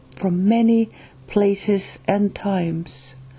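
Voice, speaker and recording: The pace is very slow, with ordinary pitch variation. The voice is somewhat breathy with a dark, mellow tone. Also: woman. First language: Finnish. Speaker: channel host reading a spiritual book. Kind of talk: reading aloud; casual introduction. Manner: halting, with restarts.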